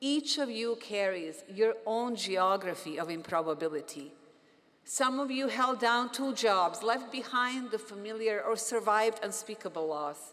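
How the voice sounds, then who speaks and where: A woman speaks with a fairly high pitch and lively intonation. Her pace is fairly slow. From Bosnia. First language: Bosnian. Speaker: physician and professor, commencement speaker. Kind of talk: commencement speech. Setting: stage with audience.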